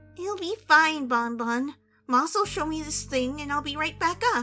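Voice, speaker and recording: A woman's put-on character voice, high in pitch and at a moderate pace, with faint music in the background. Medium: audio drama. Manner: hesitant, tense.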